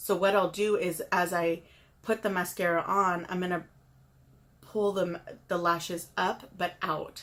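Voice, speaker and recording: A woman's medium-pitched voice shows ordinary pitch variation as she talks at a moderate pace. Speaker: makeup tutorial youtuber. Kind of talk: tutorial. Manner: mumbling; halting.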